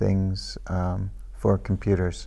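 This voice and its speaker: The speaker is a man. He talks with a Pacific Northwest accent. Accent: American English, Pacific Northwest. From US Pacific Northwest, Everett, Washington. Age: 60s. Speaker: immigrant interviewed by school pupils. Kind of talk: interview. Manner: slow, simplified English for learners.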